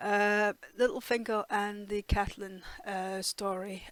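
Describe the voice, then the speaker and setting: Speaking with a Danish accent, a woman has a medium pitch. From Denmark. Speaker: TV reaction youtuber. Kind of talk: casual review monologue. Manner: hesitant, many fillers.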